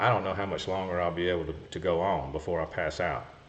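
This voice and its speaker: With audible room echo, a man speaks at a fairly quick pace in a very deep, low voice. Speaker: golf cart repair show host. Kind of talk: live stream Q&A. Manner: fast.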